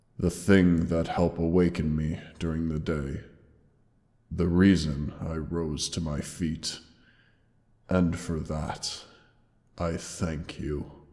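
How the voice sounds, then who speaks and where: A man uses a put-on character voice with a very deep, low pitch. His delivery is flat and monotone, fairly slow, with long, frequent pauses. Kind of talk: audio roleplay. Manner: soft, tender, emotional.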